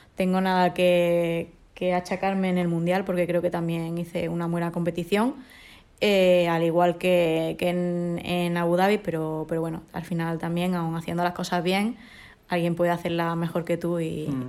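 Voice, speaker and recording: The woman's fairly low voice holds a monotone, flat intonation at a moderate pace. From Córdoba, Spain. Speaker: judoka. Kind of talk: interview.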